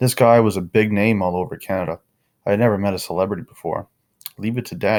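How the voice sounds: The recording has a natural reading voice and a quiet background.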